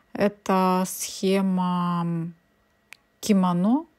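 A woman's medium-pitched voice is heard on a very clean recording, the background silent. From Ukraine. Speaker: cross-stitch embroidery blogger. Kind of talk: casual video review. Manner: chatty, thinking aloud.

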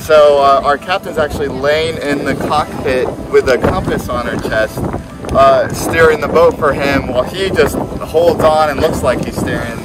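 Loud background noise behind a man talking at a moderate pace. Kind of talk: storytelling tour guide chat. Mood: cheerful, amused. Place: boat.

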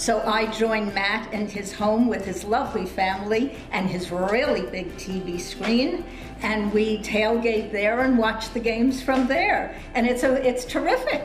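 Clear music plays behind a woman who speaks at a fairly slow pace with ordinary pitch variation in a room with audible echo. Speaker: guest. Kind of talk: interview answer. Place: home room.

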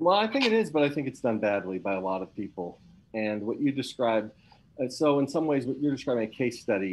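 Light background noise is present. A man talks very fast over it. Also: lively intonation. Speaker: university academic hosting the seminar. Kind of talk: academic seminar discussion. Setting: video call. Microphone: video call.

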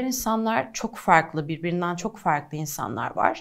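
A woman's fairly low-pitched voice with lively intonation at a moderate pace, over a quiet background. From Diyarbakır, southeastern Turkey; Turkey. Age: 20s. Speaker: activist and model; interview guest. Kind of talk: interview. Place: studio.

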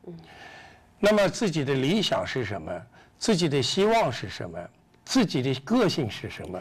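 A man with vocal fry speaks at a moderate pace and a fairly high pitch, with very wide pitch swings. His loudness swings a lot, and he takes long, frequent pauses. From China, Yunnan. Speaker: interviewee. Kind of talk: interview. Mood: earnest, reflective. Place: studio. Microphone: lapel.

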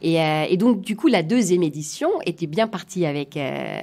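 A woman with a German accent, fairly low pitch and ordinary pitch variation. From Germany, southwest wine region. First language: German (speaking French). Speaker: coach and negotiation consultant. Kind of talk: interview conversation.

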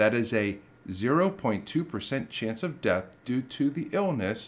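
The man's pitch swings very widely as he talks. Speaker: history channel host. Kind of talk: documentary narration to camera.

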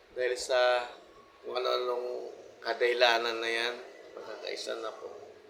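A man speaks at a fairly slow pace with big swings in loudness. Audible room echo surrounds his voice. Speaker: vlogger. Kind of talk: personal monologue. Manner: informal, repetitive, halting.

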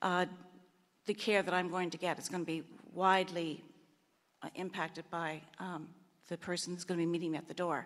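The speaker has a Canadian Maritime accent. The pace is fairly quick. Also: woman. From Prince Edward Island, Canada. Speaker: retired hospital administrator, audience member; audience member. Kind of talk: public question at meeting. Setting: microphone at public meeting. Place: hall.

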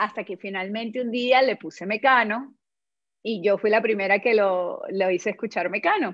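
A woman speaks at a moderate pace with ordinary pitch variation. The background is quiet. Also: dry sound with no echo. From Venezuela. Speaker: yoga life coach and former actress; yoga life coach, former actress. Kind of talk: casual interview chat. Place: home room. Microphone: video call.

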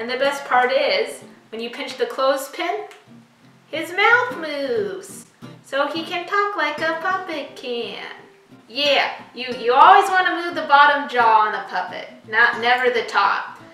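A woman's raised, projected voice moves at a fairly slow pace, with audible room echo and faint music in the background. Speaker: craft video host. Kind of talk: tutorial. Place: kitchen. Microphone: camera far.

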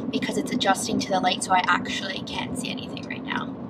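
A woman is speaking over loud background noise. The sound is dry with no echo. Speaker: beauty vlogger. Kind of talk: casual vlog chat. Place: car.

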